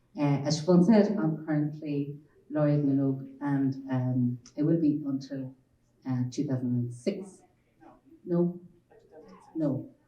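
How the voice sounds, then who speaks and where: Speaking with a western Irish accent, a woman talks at a very slow pace in a very deep, low pitch with ordinary pitch variation and long, frequent pauses. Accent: Irish (west of Ireland). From Ireland, Galway. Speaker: children's author. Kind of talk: panel talk.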